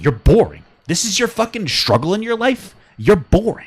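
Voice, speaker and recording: A loud man speaks with lively intonation, an animated tone and a fairly quick pace. The recording is very clean, with a silent background. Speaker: podcast co-host. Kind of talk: casual chat. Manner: loud, ranting.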